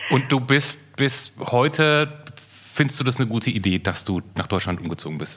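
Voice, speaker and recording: With noticeable background noise behind him, a man speaks at medium pitch with lively intonation. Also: moderate pace. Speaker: podcast co-host. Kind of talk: casual chat.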